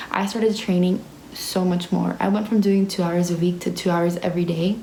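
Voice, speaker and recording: In a Spanish accent, a woman speaks animatedly at a fairly quick pace and fairly low pitch, her loudness very even, with audible room echo and noticeable background noise. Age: young. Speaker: ballet student and vlogger. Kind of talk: casual Q&A vlog. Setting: ballet dorm room.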